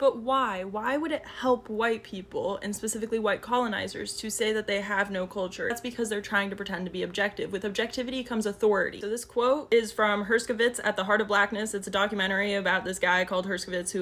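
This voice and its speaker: Over noticeable background noise, the speech races along at a very fast pace with fairly even intonation and hardly any pauses. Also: woman. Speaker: social media commentator. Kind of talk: educational explainer monologue.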